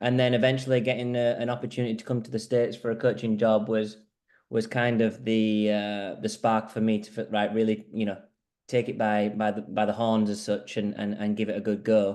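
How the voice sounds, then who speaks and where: With a Yorkshire accent, a man speaks fairly quickly at a fairly low pitch, his intonation monotone and flat. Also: quiet background. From northern England, Huddersfield. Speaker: squash coach. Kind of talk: interview, video call presentation.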